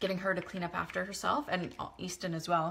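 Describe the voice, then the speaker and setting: A woman at a medium pitch, talking at a fairly quick pace. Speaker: vlogger. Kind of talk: casual chat. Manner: fast; halting.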